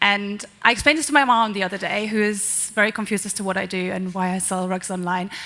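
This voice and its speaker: A woman with a German accent speaks in a bright, sharp tone. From Germany. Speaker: marketing executive. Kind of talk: panel discussion.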